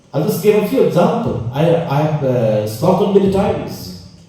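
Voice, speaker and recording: A man with a fairly high voice talks amid noticeable background noise and audible room echo. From Meghalaya, Northeast India. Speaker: conference speaker. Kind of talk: conference address. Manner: halting.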